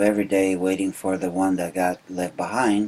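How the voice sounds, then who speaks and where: In a very deep, low pitch, a man with a Uruguayan accent speaks in a monotone, flat intonation. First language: Spanish. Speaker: immigrant interviewee. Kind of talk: oral history interview. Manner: halting, many fillers.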